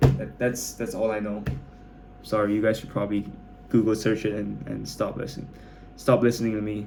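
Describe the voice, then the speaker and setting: Music plays in the background as a man with a fairly low pitch talks at a fairly quick pace, with long, frequent pauses, ordinary pitch variation and big swings in loudness. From Malaysia. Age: 20s. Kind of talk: casual talk to camera. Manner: rambling, hesitant.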